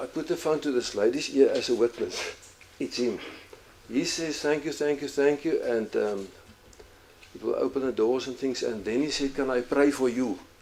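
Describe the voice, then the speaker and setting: Over noticeable background noise, a man with a fairly high pitch talks at a moderate pace with ordinary pitch variation and long, frequent pauses. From South Africa, Kalahari. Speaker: pastor. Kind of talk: testimony. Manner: halting.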